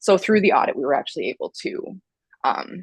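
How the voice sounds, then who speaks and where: The recording of this woman's voice is dry and close, with no echo. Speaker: QA software tester. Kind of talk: interview. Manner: talkative, many fillers.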